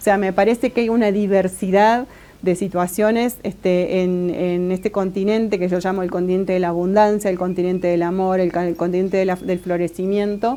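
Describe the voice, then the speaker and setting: Speaking at a fairly quick pace with hardly any pauses, a woman keeps her medium-pitched voice in fairly even intonation. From Argentina. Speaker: Mapuche academic. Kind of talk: interview. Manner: halting, many fillers and repeats.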